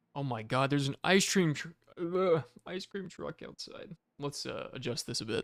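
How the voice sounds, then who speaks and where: A soft-spoken man with an American accent and a fairly high pitch talks at a moderate pace with lively intonation. The recording is very clean with a silent background, and the sound is dry and close with no echo. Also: big swings in loudness. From US South, Georgia. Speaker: gaming streamer. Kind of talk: casual chat. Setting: live stream at home. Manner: casual.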